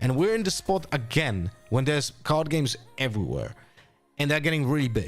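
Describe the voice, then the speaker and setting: A man with a non-native accent speaks at a fairly quick pace in a fairly high voice, his intonation lively and his loudness very even. Music plays in the background. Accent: non-native accent, noticeable. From Poland. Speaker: streamer. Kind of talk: live stream commentary. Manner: animated, casual with frequent fillers.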